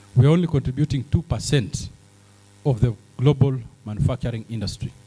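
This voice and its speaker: A somewhat breathy man's voice, dark and mellow at a medium pitch, fairly quick in pace, with ordinary pitch variation. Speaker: businessman in healthcare, summit speaker. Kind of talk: conference speech.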